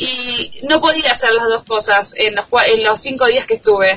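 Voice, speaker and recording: With lively intonation and a moderate pace, a woman speaks against noticeable background noise. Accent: Argentine. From Argentina. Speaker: journalist. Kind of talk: interview. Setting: Skype call. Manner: halting, many repetitions.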